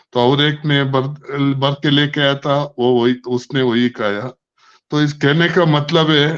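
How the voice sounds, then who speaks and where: This man's voice sits at a fairly high pitch with fairly even intonation. His loudness stays very even. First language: not Hindi (speaking Hindi). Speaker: online business network member. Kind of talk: speech telling a story at an online meeting. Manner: halting.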